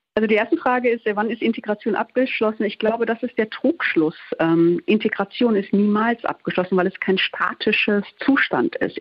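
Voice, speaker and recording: An ordinary speaking voice from a woman, fairly high in pitch, lively in intonation and moderate in pace. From Ruhr area, Germany (Duisburg). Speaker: journalist. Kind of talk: radio interview.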